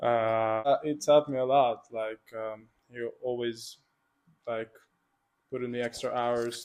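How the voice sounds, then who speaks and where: A man's medium-pitched voice at a very slow pace. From Hungary, Budapest. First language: Hungarian. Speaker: student athlete, water polo player. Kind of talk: interview.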